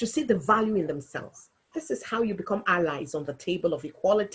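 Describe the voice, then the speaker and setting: Speaking at a moderate pace, a somewhat breathy woman with a fairly high voice makes very wide swings in pitch. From Africa. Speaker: local politician. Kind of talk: webinar talk.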